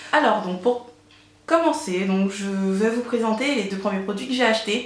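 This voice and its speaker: There is noticeable background noise and audible room echo as a woman talks at a fairly slow pace with ordinary pitch variation. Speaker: beauty vlogger. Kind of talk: product haul review. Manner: many fillers and hesitations.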